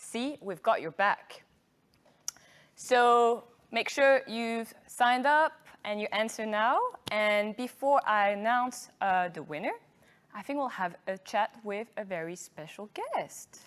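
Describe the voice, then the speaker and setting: A woman with a French accent speaks at a very slow pace and fairly high pitch. Her intonation is lively, and her loudness swings widely. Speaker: marketing manager hosting an awards event. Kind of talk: live event hosting.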